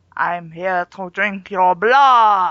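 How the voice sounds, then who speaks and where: This female-sounding voice is a put-on character voice at a medium pitch for a woman. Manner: menacing, theatrical.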